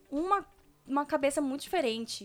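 Speaking at a fairly quick pace, a woman uses a raised, projected voice with a high pitch and ordinary pitch variation. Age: 20s. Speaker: podcast co-host. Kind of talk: casual chat.

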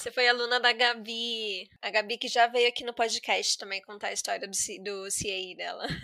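At a moderate pace, a woman speaks at a fairly high pitch with monotone, flat intonation. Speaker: podcast host, English teacher. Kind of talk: casual interview chat.

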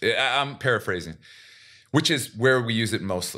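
With a Pacific Northwest accent, a man speaks at a medium pitch. His tone is bright and sharp, his intonation lively. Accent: American, Pacific Northwest. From Seattle, US. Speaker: podcast host, retired basketball player. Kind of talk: casual chat.

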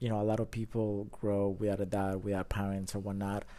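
A man speaks with a Colombian accent. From Colombia, Bogota. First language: Spanish. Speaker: drone photographer and videographer. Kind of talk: casual interview. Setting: in-person studio.

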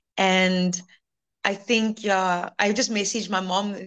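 Monotone, flat intonation at a fairly slow pace. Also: woman. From South Africa, Cape Town. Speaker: English teacher. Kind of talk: interview testimony.

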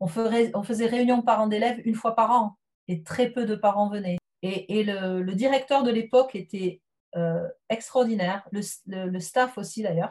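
Ordinary pitch variation accompanies a fairly slow pace in this speech. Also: woman, fairly high pitch for a woman. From southwest France. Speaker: teacher. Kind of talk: interview. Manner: hesitant.

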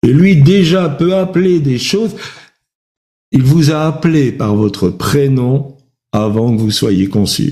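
Amid audible room echo, a man speaks at a very slow pace with long, frequent pauses, his dark, mellow, somewhat breathy voice making very wide pitch swings. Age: old. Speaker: preacher. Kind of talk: sermon with personal testimony. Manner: hesitant, many fillers.

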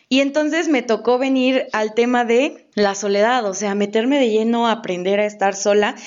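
With a normal speaking voice, this woman talks at a fairly high pitch and a moderate pace, using ordinary pitch variation. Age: 20s. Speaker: podcast co-host. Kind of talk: casual chat.

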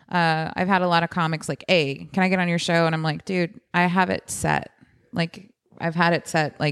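An unremarkable speaking voice with an American accent keeps a moderate pace and fairly even intonation. The recording is very clean, with a silent background. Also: woman. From Texas, San Antonio. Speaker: comedian. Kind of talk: casual chat.

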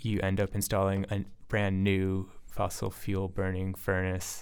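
Recorded very cleanly against a silent background, a man speaks at a fairly low pitch with a Midwestern US accent. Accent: US Midwest. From Michigan, Ann Arbor. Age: 20s. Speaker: graduate student. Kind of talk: casual chat. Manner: halting.

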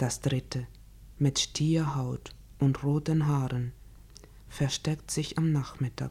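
Long pauses come often. The pace is very slow. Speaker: poetry reader. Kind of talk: reading poetry aloud in German, solemn and measured. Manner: slow, deliberate, expressive.

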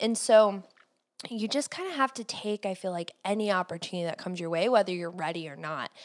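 In a very clean recording with a silent background, a woman with a normal speaking voice and an American accent talks at a medium pitch with lively intonation. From Cleveland, US Midwest. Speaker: podcast host and entrepreneur. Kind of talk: casual interview.

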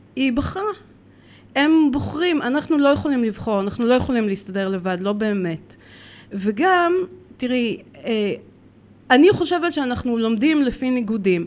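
A woman's high-pitched voice, fairly slow, with very wide pitch swings and long, frequent pauses. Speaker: dog trainer and cat behavior consultant. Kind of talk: casual interview chat. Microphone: too far from the mic.

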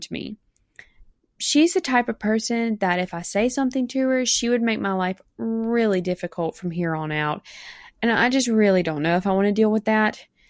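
With a Mississippi accent and lively intonation, a woman speaks fairly quickly in a fairly high voice, in a very clean, dry, close recording with no echo and a silent background. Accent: Mississippi southern. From US South, South Mississippi. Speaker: bride-to-be sending a voice message. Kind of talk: recorded voice message.

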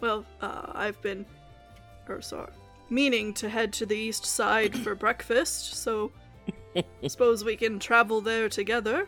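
Using a put-on character voice with fairly high pitch, a woman talks at a fairly slow pace with long, frequent pauses while music plays clearly behind her. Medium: actual play. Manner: dry, wry, measured.

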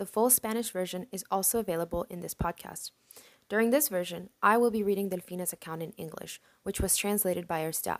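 Heard in a dry, close sound with no echo, a woman with an unremarkable speaking voice talks at a fairly quick pace and medium pitch. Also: ordinary pitch variation. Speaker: podcast host. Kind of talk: reading aloud.

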